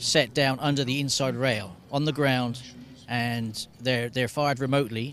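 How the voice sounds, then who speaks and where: Speaking at a moderate pace, a man uses a normal speaking voice with fairly even intonation. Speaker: racing photographer and former jockey. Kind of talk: interview answer.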